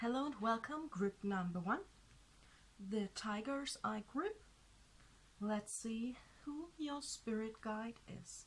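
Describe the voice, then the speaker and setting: A woman's somewhat breathy, fairly high voice with lively intonation, a very slow pace and long, frequent pauses. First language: not English. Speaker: tarot reader. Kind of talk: tarot reading video.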